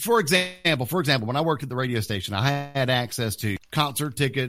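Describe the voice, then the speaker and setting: Speaking at a fairly quick pace, a man uses a medium pitch and lively intonation. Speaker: podcast co-host. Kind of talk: casual chat. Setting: video call. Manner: loud.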